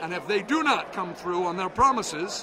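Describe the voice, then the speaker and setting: A man's raised, projected voice with lively intonation over noticeable background noise. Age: 60s. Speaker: pastor and activist. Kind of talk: interview. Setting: conference floor.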